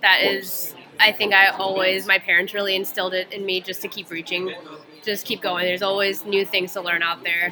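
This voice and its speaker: Fairly quick, monotone delivery with flat intonation in an American accent, over noticeable background noise. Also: woman, medium pitch for a woman. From US South, Atlanta, Georgia. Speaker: physical therapy student. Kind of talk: interview. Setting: conference.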